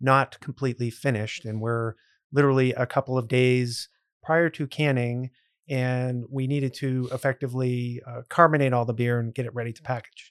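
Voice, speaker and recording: A man with an American accent speaks at medium pitch in a normal speaking voice, with fairly even intonation and a moderate pace, recorded with a dry, close sound and no echo. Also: very clean recording, silent background. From central Massachusetts (Grafton, near Worcester). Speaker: brewery owner. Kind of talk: podcast interview.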